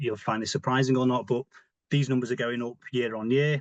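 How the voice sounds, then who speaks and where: Talking at a very fast pace with a British accent, this speaker keeps the intonation fairly even, and the sound is dry and close with no echo. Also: man. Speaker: diabetes physical activity advisor. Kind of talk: webinar presentation.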